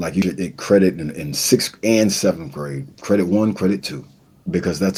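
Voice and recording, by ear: This man speaks low at a moderate pace, with ordinary pitch variation. His tone is dark and mellow, carrying a slightly husky edge.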